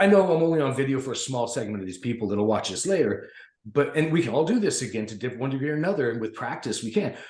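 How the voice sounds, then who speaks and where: Audible room echo surrounds a man talking at a very fast pace in an animated tone, somewhat breathy, with a medium pitch and lively intonation. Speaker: podcast panelist. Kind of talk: casual chat.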